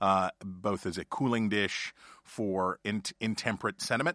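A man with an American accent talks in a very deep, low voice with a bright, sharp tone. His intonation stays fairly even, and the sound is dry and close with no echo against a quiet background. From West Virginia. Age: 40s. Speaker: news network politics editor. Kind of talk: casual chat. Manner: talkative, fast.

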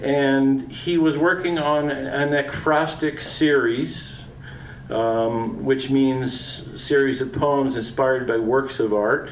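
A man with a Canadian accent at a medium pitch and very slow pace, with ordinary pitch variation and noticeable background noise. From Southwestern Ontario, farm. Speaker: poet. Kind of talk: poetry reading. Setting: restaurant event with audience.

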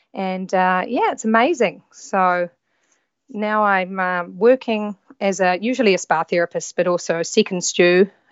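A woman speaks at a fairly slow pace in a New Zealand accent. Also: medium pitch for a woman, ordinary pitch variation. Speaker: yacht stewardess. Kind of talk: casual chat. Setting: remote call.

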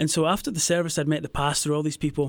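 Speaking very fast with fairly even intonation, a man with a Scottish accent is heard in a very clean recording with a silent background. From Scotland, near Glasgow. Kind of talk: casual interview, faith testimony.

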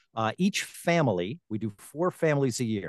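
A man with an American accent and a normal speaking voice talks at a moderate pace and medium pitch, with a dry, close sound with no echo and a quiet background. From Long Island, New York. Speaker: TV host and voiceover talent. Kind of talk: interview.

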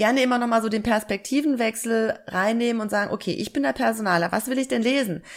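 A woman with a normal speaking voice, fairly high-pitched with ordinary pitch variation, in a very clean recording with a silent background. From southern Germany, Lake Constance. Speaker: job application coach. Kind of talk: interview.

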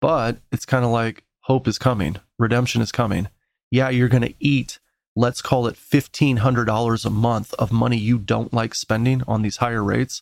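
An ordinary speaking voice at a moderate pace with fairly even intonation, dry and close with no echo, on a very clean recording with a silent background. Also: man, medium pitch for a man. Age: 40s. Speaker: mortgage lender and real estate investor. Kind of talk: casual interview. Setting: studio.

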